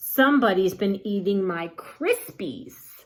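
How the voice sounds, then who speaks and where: A woman puts on a growling character voice at medium pitch, speaking at a fairly slow pace. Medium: read story.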